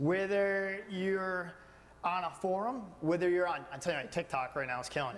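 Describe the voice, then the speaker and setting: A man talks loudly in an animated tone, with audible room echo. His pitch is high with ordinary variation, and his pace is moderate. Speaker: aquarium business owner. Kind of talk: panel discussion.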